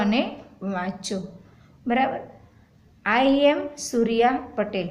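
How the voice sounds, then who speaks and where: There is audible room echo and noticeable background noise. Through it, a woman speaks at a fairly high pitch. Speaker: primary school English teacher. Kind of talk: lesson.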